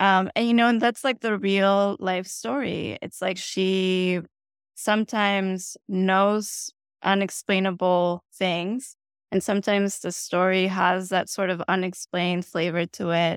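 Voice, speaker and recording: In a Spanish accent, a woman speaks at a fairly slow pace and medium pitch with fairly even intonation. The very clean recording has a silent background and a dry, close sound with no echo. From Bogota, Colombia. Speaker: author, memoirist. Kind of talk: interview, conversational. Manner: reflective, hesitant with fillers.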